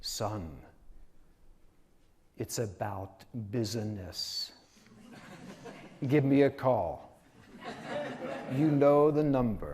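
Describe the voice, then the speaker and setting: Putting on a gruff character voice, a man talks very slowly at a medium pitch. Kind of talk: terse, businesslike.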